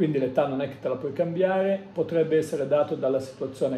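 A man talks with a dark, mellow tone, somewhat breathy, and with fairly even intonation. Light background noise and audible room echo are present. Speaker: tarot reader. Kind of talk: tarot reading monologue. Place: home room. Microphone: phone near.

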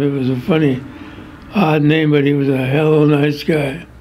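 A man speaks with a Midwestern American accent at a fairly slow pace. His pitch is fairly high and his intonation fairly even. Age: 80s+. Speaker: war veteran. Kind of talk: interview answer. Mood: somber reminiscing. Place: home room.

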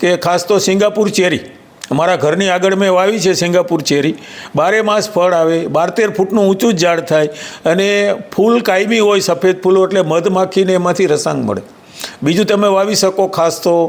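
A high-pitched male voice with fairly even intonation and very even loudness, set against noticeable background noise. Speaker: retired forest officer. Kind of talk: interview.

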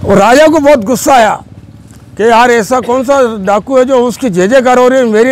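The speech moves at a moderate pace with ordinary pitch variation. The sound is dry, with no echo. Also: man. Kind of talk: storytelling narration. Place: open country. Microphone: phone near.

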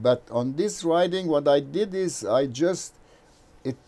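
A man with a Brazilian accent speaks at a fairly slow pace in a dark, mellow tone. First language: Portuguese. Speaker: engineering professor and novelist. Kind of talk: interview conversation.

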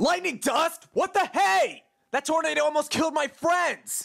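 At a moderate pace, the speaker performs in a put-on character voice. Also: man, extremely high pitch for a man. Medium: dub. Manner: angry, shouting.

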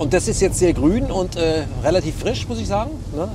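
A man's fairly slow voice, dry with no echo, over noticeable background noise. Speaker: political journalist. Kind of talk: interview answer. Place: car. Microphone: lapel.

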